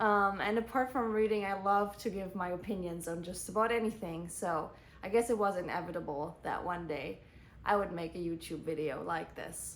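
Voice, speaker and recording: Audible room echo surrounds a woman speaking with a slight German accent. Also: medium pitch for a woman, ordinary pitch variation, moderate pace. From Germany. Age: 20s. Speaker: book vlogger. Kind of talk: casual book review monologue.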